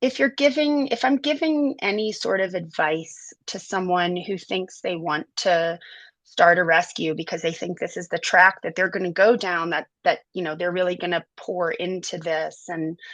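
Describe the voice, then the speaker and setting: With an American accent and a plain, everyday voice, a woman talks at a moderate pace in a medium pitch, with lively intonation and hardly any pauses, against a quiet background. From US South, inner city New Orleans. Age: 40s. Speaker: animal sanctuary director. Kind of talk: interview conversation.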